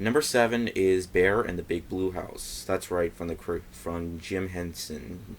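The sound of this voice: A man's low-pitched voice with vocal fry, little pitch movement and a fairly slow pace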